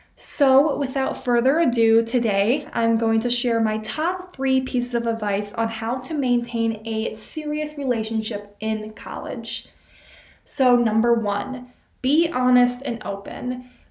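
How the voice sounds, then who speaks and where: Room echo surrounds a woman's high-pitched voice as she speaks fairly slowly with ordinary pitch variation. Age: 20s. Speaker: student podcaster. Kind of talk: solo advice podcast. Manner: animated.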